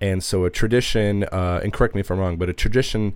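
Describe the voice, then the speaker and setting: In a very clean recording with a silent background, a man with a normal speaking voice and a fairly low pitch talks fairly quickly with fairly even intonation. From Minneapolis, US Midwest. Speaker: radio host. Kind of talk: podcast hosting and interview.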